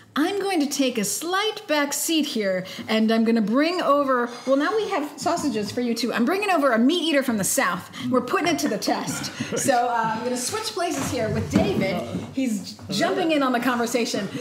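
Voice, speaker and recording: High female voice with very wide pitch swings, a moderate pace and light background noise. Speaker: interview host. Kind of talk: interview chat. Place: home room. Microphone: camera far.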